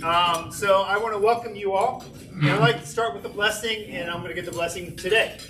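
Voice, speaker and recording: A man with a high voice speaks in a raised, projected way at a fairly quick pace, with ordinary pitch variation. Music plays behind him, and the room echo is audible. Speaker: club member leading meeting. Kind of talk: meeting address. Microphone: no microphone, PA down.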